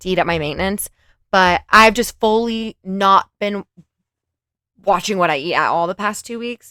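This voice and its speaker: Recorded very cleanly against a silent background, a woman with a Californian accent speaks in a bright, sharp tone with ordinary pitch variation. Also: dry, close sound with no echo. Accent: Californian girl. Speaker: commentary youtuber. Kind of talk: reaction commentary. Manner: casual, conversational.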